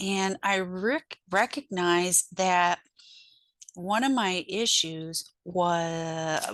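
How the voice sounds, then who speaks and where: A woman speaks at a very slow pace with a medium pitch, ordinary pitch variation and very even loudness. The sound is dry and close, with no echo. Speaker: spiritual healer and author. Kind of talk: personal talk to camera. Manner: halting, with many ums; a little choppy.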